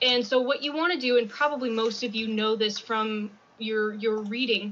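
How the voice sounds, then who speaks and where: A woman with an unremarkable speaking voice, fairly high pitch, ordinary pitch variation, and a moderate pace. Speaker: freelance fiction editor. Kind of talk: conference presentation. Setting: convention presentation.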